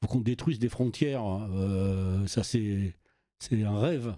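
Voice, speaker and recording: A man speaks in a dark, mellow tone. His pace is very slow. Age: 60s. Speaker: youth worker and local councillor. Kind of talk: casual chat. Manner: halting, many repetitions.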